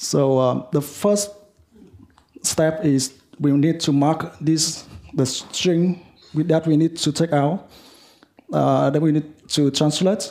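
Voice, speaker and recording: With a Vietnamese accent, a man speaks at a very slow pace and fairly high pitch, taking long, frequent pauses, with very even loudness and fairly even intonation. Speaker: software developer. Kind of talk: lightning talk. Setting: meetup with audience. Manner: halting, many fillers.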